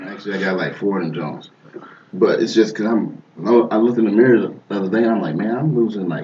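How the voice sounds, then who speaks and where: Talking very fast, a man is heard with audible room echo and noticeable background noise. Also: fairly low pitch for a man, ordinary pitch variation. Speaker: podcast co-host. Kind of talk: casual chat.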